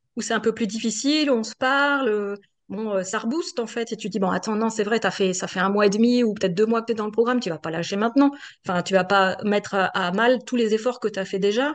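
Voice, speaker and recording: A woman races along at a very fast pace, her fairly high voice showing ordinary pitch variation. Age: 50s. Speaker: coaching client, executive assistant. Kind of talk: testimonial interview. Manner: hesitant, many fillers.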